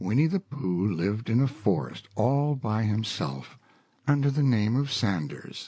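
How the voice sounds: Natural reading voice, intonation lively throughout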